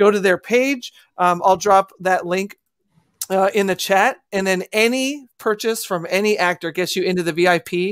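A woman at a fairly slow pace, animated in tone, with ordinary pitch variation and a quiet background. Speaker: show host. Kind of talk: casual panel chat. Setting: video call. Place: home room.

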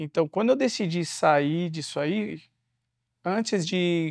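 At a very slow pace, a man speaks in a high pitch with ordinary pitch variation, the sound dry with no echo against a quiet background. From São Paulo, Capão Redondo; São Paulo. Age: 30s. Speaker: former prisoner, social entrepreneur and speaker. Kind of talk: interview. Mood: reflective, earnest. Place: studio.

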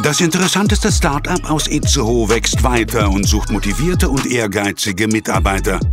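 A man talking with hardly any pauses and very even loudness, music in the background. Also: moderate pace. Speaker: voice-over artist. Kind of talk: recruiting trailer voice-over. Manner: dramatic, motivating.

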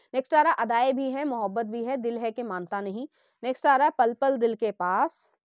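A woman's high-pitched voice with lively intonation and a moderate pace, in a dry, close sound with no echo over a quiet background. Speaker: tarot reader. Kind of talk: tarot card reading monologue.

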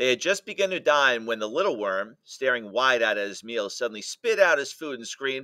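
The voice reads aloud. It is an unforced reading voice.

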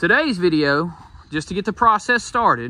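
Bright and sharp in tone, the voice makes very wide pitch swings in a dry sound with no echo. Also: man. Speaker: sawmill vlogger. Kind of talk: casual vlog chat. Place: garden. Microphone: phone near.

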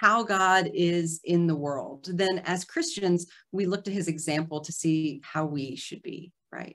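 The woman's pitch shows ordinary variation. She talks at a very slow pace. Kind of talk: lecture. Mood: earnest, warm. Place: home room. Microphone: video call.

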